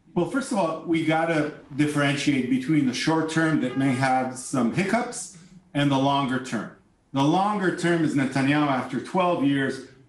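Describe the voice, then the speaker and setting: Recorded with audible room echo, a man speaks at a moderate pace and very even loudness, his fairly high pitch showing ordinary variation. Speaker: venture capitalist and former politician. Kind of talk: news interview.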